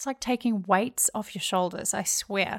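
With a New Zealand accent, a woman speaks with ordinary pitch variation in a dry, close sound with no echo. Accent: New Zealand (Kiwi). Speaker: podcast host. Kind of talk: solo podcast monologue.

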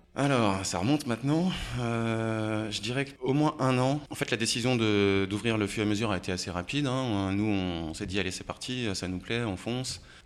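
Speaking at a moderate pace, a man has a plain, everyday voice of medium pitch with ordinary pitch variation. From France, Haute-Savoie (Annemasse). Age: 30s. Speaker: bar owner. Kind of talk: casual interview.

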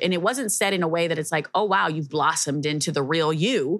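A woman talks at a very fast pace with ordinary pitch variation. The recording is very clean, with a silent background. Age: 30s. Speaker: podcast host. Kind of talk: casual chat.

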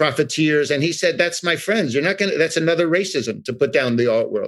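A man with an American accent talks at a fairly quick pace in a fairly high pitch. He has an unremarkable speaking voice. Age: 60s. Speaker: art expert. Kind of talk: interview. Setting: remote call.

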